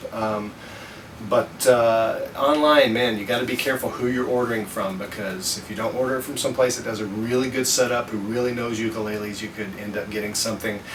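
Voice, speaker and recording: A man's medium-pitched voice at a fairly quick pace, with fairly even intonation, noticeable background noise and audible room echo. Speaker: ukulele hobbyist vlogger. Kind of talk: casual product review vlog. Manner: fast; hesitant, many fillers.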